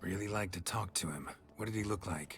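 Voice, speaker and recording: A man puts on a raspy character voice with a very deep, low pitch. He talks at a fairly quick pace against clear background noise. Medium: video game. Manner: clipped, terse.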